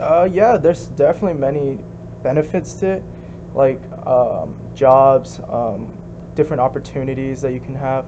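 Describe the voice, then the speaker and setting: Over noticeable background noise, a man with a Korean accent speaks at a moderate pace. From US, second-generation Korean immigrant. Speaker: interviewee, second-generation immigrant. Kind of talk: casual interview. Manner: hesitant, many fillers.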